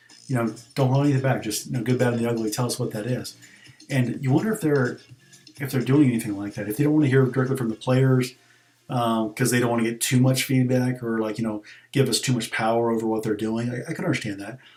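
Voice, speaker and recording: Over music in the background, a man talks at a very fast pace with a medium pitch and fairly even intonation. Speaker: gaming streamer. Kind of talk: casual gaming stream commentary. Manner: hesitant, many fillers.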